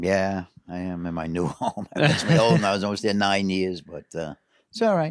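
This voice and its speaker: Very deep and low in pitch, a man with a New York accent talks at a moderate pace with lively intonation. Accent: New York City. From New York City, Queens. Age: 70s. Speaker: carp angler. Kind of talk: casual chat.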